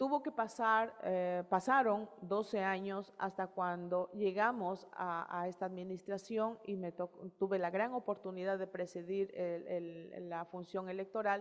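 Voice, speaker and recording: With an Ecuadorian Amazon accent, a woman speaks at a fairly slow pace and medium pitch, her intonation fairly even and with hardly any pauses. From Ecuadorian Amazon, Morona Santiago (Shuar nationality). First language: Shuar (speaking Spanish). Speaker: electoral authority head. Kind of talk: panel presentation. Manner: hesitant, many fillers.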